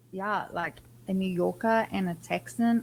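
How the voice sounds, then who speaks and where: Her pitch sits fairly low and varies in an ordinary way. The woman's voice is somewhat breathy. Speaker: podcast guest. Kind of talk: casual chat.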